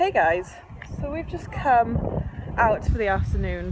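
A woman's voice comes through loud background noise. The sound is dry with no echo. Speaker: vlogger. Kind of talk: casual vlog chat. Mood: cheerful, enthusiastic. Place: street. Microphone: phone near.

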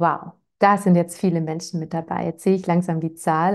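Her pitch is fairly low, and this woman keeps a moderate pace. Intonation stays fairly even over a quiet background. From Swabia, Germany (Ravensburg area, Lake Constance); Swabia. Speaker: parenting educator; parenting coach hosting webinar. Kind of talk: webinar, casual welcome chat. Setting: live online webinar. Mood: warm, cheerful. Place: home room. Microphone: lapel.

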